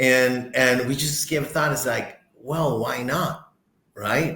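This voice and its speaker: Talking at a very slow pace, a man with a medium-pitched voice is heard with audible room echo. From Costa Rica. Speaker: corporate director. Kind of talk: interview conversation. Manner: halting, many repetitions.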